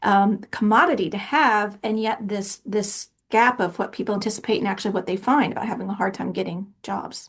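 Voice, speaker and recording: A woman's somewhat breathy voice. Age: 50s. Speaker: podcast host. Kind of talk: podcast interview.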